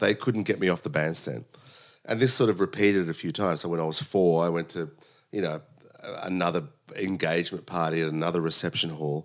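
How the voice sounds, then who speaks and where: Speaking at a fairly quick pace with an Australian accent, a man uses a very deep, low pitch and ordinary pitch variation in a very clean recording with a silent background. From Sydney, Australia. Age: 40s. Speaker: drummer and music director. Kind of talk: casual interview. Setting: home.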